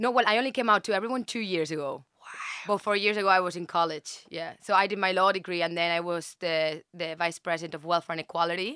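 Talking at a very fast pace, a woman with a fairly low pitch and a bright, sharp tone shows ordinary pitch variation in a dry, close sound with no echo. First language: not English. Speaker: dating show contestant. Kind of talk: casual chat. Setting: studio.

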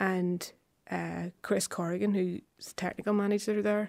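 A woman with a Belfast accent speaks at a moderate pace with fairly even intonation on a very clean recording with a silent background. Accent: Belfast Northern Irish. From West Belfast. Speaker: harpist and composer. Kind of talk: casual radio interview. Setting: studio.

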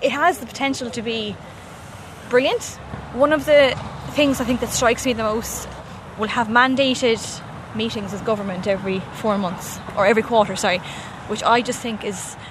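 With a Limerick accent, a woman speaks at a moderate pace with a fairly high pitch and ordinary pitch variation, taking long, frequent pauses over noticeable background noise. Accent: Irish (Limerick). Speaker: journalist. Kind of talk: casual chat.

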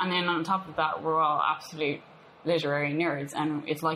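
A woman speaks with a very deep, low pitch and an Irish accent. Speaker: punk bassist and poet. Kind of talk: interview. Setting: cafe.

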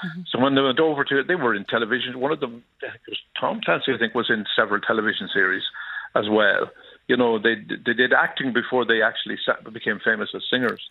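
A man with an Irish accent talks at a very fast pace, his medium pitch showing ordinary variation. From Ireland. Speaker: musician caller. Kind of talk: radio phone-in.

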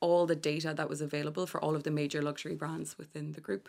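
Very deep, low female tones captured in a very clean recording, the background silent. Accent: west of Ireland. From Ireland, Galway. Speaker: fashion and digital executive. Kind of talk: radio interview. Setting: radio studio.

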